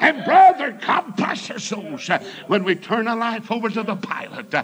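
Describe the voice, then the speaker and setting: An animated man with a high voice and very wide pitch swings, over noticeable background noise. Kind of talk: sermon. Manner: animated, rousing pulpit delivery with call-and-response exclamations; loud, fervent, storytelling, punctuated with praise shouts.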